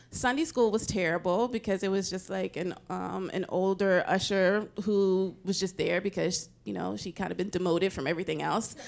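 At a moderate pace with hardly any pauses, a woman with an American accent speaks at a medium pitch, using ordinary pitch variation and some vocal fry. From US South, Nashville, Tennessee. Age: 40s. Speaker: podcast co-host. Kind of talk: panel chat. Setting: stage with audience.

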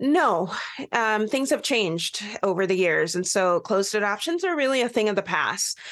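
An unremarkable speaking voice with an American accent and lively intonation comes through over a quiet background. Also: woman. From Pacific Northwest US (Bellingham, Washington). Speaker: adoptee advocate and author. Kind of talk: radio interview.

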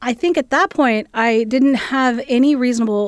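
In a Midwestern American accent, a high-pitched woman speaks on a very clean recording with a silent background. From US Midwest, southeastern Ohio. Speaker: music school dean. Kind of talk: interview.

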